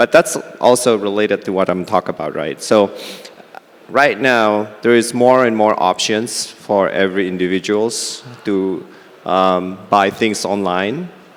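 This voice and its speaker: Over noticeable background noise, a man with a fairly low voice talks fairly slowly, with ordinary pitch variation. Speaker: fintech CEO. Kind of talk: panel discussion.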